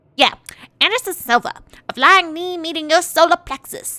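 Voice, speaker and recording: A woman performs a put-on character voice at an extremely high pitch. She keeps a moderate pace with lively intonation. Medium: game stream. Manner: swaggering, slangy, gruff.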